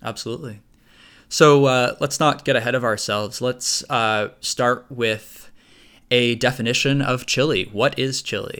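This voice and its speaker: A man with a bright, sharp tone speaks at medium pitch and a fairly slow pace, his intonation fairly even. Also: very clean recording, silent background. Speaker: podcast host. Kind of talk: casual podcast discussion.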